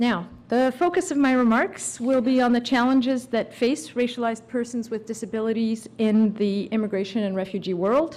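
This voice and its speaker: With a plain, everyday voice, a woman speaks at a fairly high pitch and a moderate pace, using ordinary pitch variation and hardly any pauses. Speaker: immigration lawyer. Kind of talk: conference talk.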